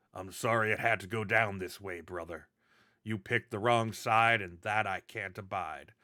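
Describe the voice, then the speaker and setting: In a raspy, put-on character voice, a man speaks at a moderate pace and fairly low pitch on a very clean recording with a silent background. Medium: actual play.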